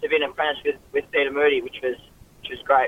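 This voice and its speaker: The speaker is a man. He has an Australian accent. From Queensland, Australia (Ipswich). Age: young. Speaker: jockey. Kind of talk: radio interview. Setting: phone line. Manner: halting, many fillers.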